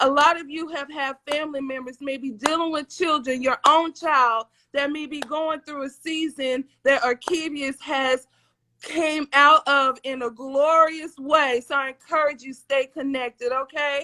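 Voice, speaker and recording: In an American accent, a woman uses a raised, projected voice with a high pitch and a bright, sharp tone, speaking at a fairly slow pace with big swings in loudness and a dry, close sound with no echo. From US South. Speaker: livestream talk show host. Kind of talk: live-streamed interview show. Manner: animated.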